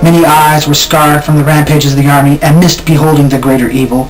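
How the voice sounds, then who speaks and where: There is noticeable background noise behind this man. He speaks at a fairly quick pace with a fairly high pitch. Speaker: poet. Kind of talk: poetry reading.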